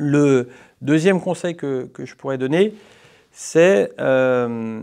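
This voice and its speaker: Against a quiet background, a man talks at a medium pitch. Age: 30s. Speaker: politician. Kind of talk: interview. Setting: parliament committee room. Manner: hesitant with fillers. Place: meeting room. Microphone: lapel.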